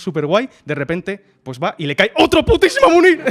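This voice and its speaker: A man's animated tone with very wide pitch swings, in dry, close sound with no echo. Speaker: podcast co-host. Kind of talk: casual chat.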